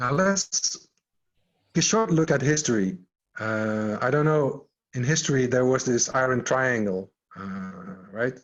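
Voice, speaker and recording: A man speaks in an unremarkable speaking voice at a medium pitch. He talks at a fairly slow pace with ordinary pitch variation. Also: quiet background. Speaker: agile coach and scrum trainer. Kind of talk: online workshop.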